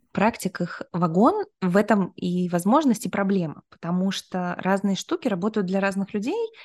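In an ordinary speaking voice, a woman talks at moderate pace and medium pitch with ordinary pitch variation and hardly any pauses, the sound dry and close with no echo. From Kyrgyzstan region, near China. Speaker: neuroscience institute founder and author. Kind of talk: interview.

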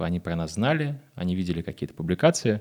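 A man's very deep, low voice at a moderate pace, lively in intonation, dry and close with no echo, on a very clean recording with a silent background. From Moscow, Russia. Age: 20s. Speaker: agency co-owner and director. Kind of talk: interview. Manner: casual.

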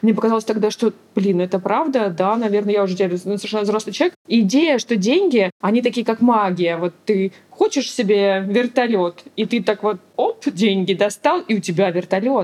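A woman's medium-pitched voice with ordinary pitch variation, a moderate pace and hardly any pauses, a normal speaking voice. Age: 30s. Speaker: mother of three. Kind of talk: casual interview.

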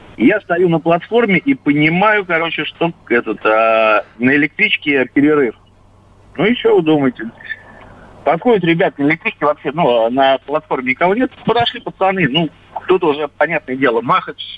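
At a moderate pace, a man with a fairly high pitch makes very wide pitch swings while keeping his loudness very even. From Moscow region (Lyubertsy). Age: 40s. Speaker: caller. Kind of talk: phone-in storytelling.

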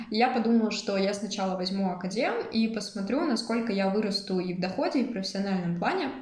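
The speech comes at a very fast pace. Noticeable background noise and audible room echo are present. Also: woman. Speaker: psychology student and freelance social media manager. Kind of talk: interview.

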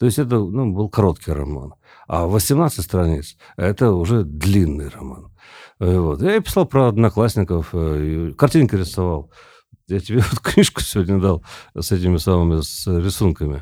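The voice has a dark, mellow tone, lively intonation, and big swings in loudness at a moderate pace. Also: man, very deep, low pitch for a man. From Siberia, Tomsk. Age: 50s. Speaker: poet. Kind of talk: casual chat. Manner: halting.

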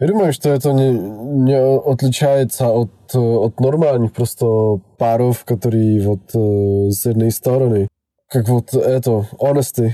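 A man with a Czech accent speaks at a very slow pace, his medium pitch showing ordinary variation and his loudness staying very even. His tone is dark and mellow, and the sound is dry and close with no echo. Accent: Czech accent in Russian. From Czech Republic. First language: Czech (speaking Russian). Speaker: podcast host's boyfriend. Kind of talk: casual interview. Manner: halting.

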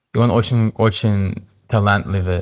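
A voice with an English accent moves at a fairly slow pace with fairly even intonation. The recording is very clean, with a silent background. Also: man. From Canada, Toronto. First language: English (speaking Russian). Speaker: yoga teacher. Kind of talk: interview. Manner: halting.

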